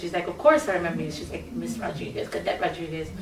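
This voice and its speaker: A woman with an American accent talks very fast, with noticeable background noise and audible echo in the room. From New York City, Brooklyn (Bushwick). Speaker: singer. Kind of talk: interview.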